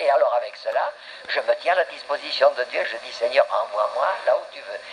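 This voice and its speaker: A man talks at a moderate pace in an extremely high pitch. His intonation is monotone and flat, with big swings in loudness. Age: 70s. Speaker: pastor. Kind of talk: sermon.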